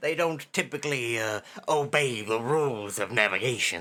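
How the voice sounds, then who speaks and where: A put-on character voice from a man, delivered at a moderate pace. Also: medium pitch for a man. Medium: actual play. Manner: folksy, blunt, informal.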